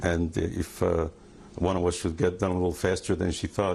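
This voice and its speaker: The speech moves at a moderate pace. Its intonation is flat and monotone. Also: man. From Hungary. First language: Hungarian. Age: 60s. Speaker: Holocaust survivor. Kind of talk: testimony. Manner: halting.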